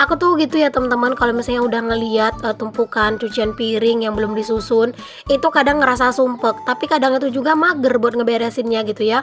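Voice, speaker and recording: Over music in the background, a woman with a high pitch and ordinary pitch variation talks at a very fast pace with hardly any pauses. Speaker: vlogger, village housewife. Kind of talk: vlog voice-over narration. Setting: home, recorded after dawn prayer. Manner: more subdued than usual, slightly quieter; casual chatty.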